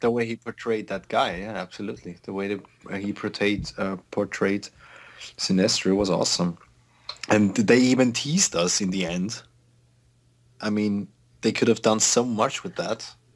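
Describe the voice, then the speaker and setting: A man with a fairly low pitch, at a moderate pace, fairly even intonation, and long, frequent pauses. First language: not English. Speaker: podcast guest. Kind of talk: casual chat. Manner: halting.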